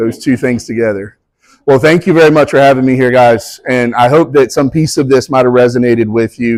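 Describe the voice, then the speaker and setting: With a slight Southern accent, a man talks at a fairly quick pace, his medium pitch held to fairly even intonation. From US South, southeast Georgia. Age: 50s. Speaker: author and guest speaker. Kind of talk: talk to an audience.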